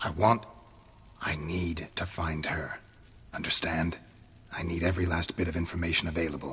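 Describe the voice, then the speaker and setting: The put-on character voice moves at a moderate pace, broken by long, frequent pauses. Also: man, very deep, low pitch for a man. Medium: video game. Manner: terse, flat, gravelly.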